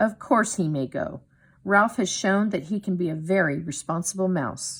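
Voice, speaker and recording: In a put-on character voice, a female-sounding speaker at middle pitch talks at a moderate pace over a very clean recording with a silent background. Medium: read story. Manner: hearty.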